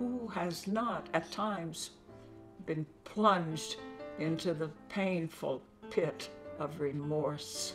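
A woman at a very slow pace with lively intonation and long, frequent pauses, clear music in the background. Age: 80s+. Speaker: poet. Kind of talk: poetry reading. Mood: earnest, pleading. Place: home room.

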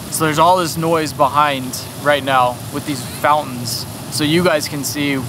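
A man speaks in a dry recording with no echo, set against noticeable background noise. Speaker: vlogger reviewing gear. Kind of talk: casual vlog chat. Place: street. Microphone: phone near.

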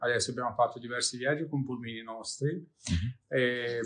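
The speaker is male. He talks at a moderate pace. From Ukraine. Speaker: restaurant owner and aid organizer. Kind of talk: interview answers. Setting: interview. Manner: halting, repeats words. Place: home room.

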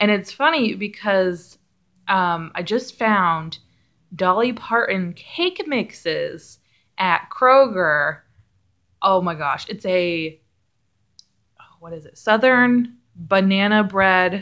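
In a quiet background, a woman talks at a very slow pace with lively intonation and long, frequent pauses. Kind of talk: casual vlog chat. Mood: excited, laughing. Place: home room. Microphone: phone near.

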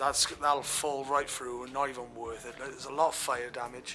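Over clear music in the background, a man speaks at a moderate pace in a monotone, flat intonation. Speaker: urban explorer vlogger. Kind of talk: casual vlog chat. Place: empty room.

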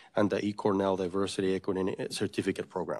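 Talking at a very fast pace, a man uses a fairly low pitch. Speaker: college vice president; presenter. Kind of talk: staff meeting update. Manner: halting. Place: meeting room. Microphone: podium.

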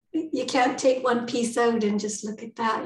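Somewhat breathy, a woman talks at a moderate pace with fairly even intonation, light background noise and audible room echo. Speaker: guest. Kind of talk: interview answer. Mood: warm, laughing at times.

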